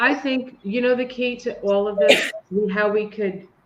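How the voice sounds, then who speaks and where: Amid noticeable background noise and audible room echo, a woman with a fairly high pitch speaks at a fairly slow pace with ordinary pitch variation. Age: 60s. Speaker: podcast co-host. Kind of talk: casual chat.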